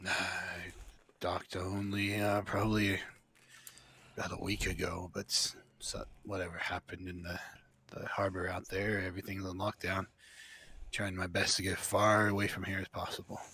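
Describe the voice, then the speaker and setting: In a put-on character voice, a man speaks raspy and fairly low, with monotone, flat intonation. His moderate pace is broken by long, frequent pauses. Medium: actual play. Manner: friendly but guarded, hesitant.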